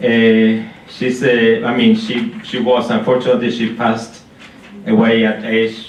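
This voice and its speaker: A man with an Argentine accent speaks at a fairly slow pace in a medium pitch. His intonation stays fairly even, and room echo can be heard. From Argentina. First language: Spanish. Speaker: concert pianist. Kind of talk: spoken introduction at a concert. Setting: stage with live audience in a library. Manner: halting, many fillers and restarts.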